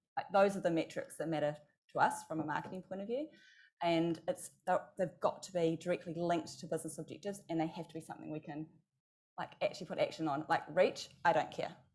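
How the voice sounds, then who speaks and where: A woman with a New Zealand accent, fairly low in pitch, at a very fast pace, with ordinary pitch variation and big swings in loudness. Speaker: marketing executive and agency founder. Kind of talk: conference panel discussion.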